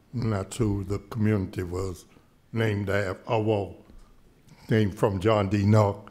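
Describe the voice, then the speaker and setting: A man's fairly low, dark, mellow voice, fairly slow and flat in intonation, with long, frequent pauses. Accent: American. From US South. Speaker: local historian; panelist. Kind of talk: panel discussion. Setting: stage with audience. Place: hall. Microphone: podium.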